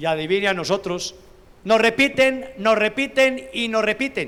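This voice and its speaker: A man's high voice, bright and sharp in tone, with lively intonation at a fairly slow pace. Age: 60s. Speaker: pastor. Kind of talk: sermon.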